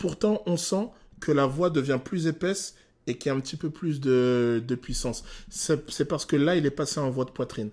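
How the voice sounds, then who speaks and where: In a very clean recording with a silent background, a man with a fairly high pitch talks at a moderate pace, his pitch varying in an ordinary way. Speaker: vocal coach. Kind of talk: reaction video analysis of a song. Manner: hesitant, many filler sounds.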